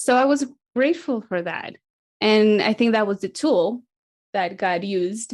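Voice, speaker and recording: A woman with a Spanish accent, a fairly high pitch and lively intonation, at a moderate pace with long, frequent pauses. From Latin America. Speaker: missions mobilizer. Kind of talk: interview.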